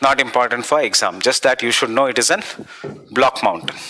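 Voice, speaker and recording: Medium-pitched male speech at a moderate tempo, ordinary in its pitch variation, over noticeable background noise. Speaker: exam coaching teacher. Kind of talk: lecture.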